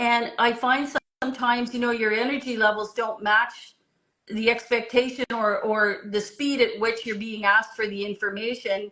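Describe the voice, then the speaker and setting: At a moderate pace, a woman speaks in a fairly high, bright, sharp voice with monotone, flat intonation. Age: 60s. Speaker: marketing executive. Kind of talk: interview conversation.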